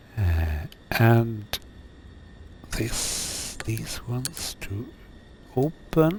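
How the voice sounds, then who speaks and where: A man with a non-native accent, very wide pitch swings, a very slow pace and long, frequent pauses, against noticeable background noise. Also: medium pitch for a man. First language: not English. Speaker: flight sim streamer. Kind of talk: live gameplay commentary. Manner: halting, many fillers.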